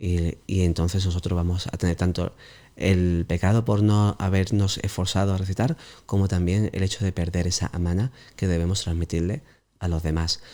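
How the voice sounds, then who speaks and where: This man's voice sits very deep and low. His intonation stays fairly even. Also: moderate pace. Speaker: Islamic teacher. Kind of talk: interview Q&A. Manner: hesitant, many fillers.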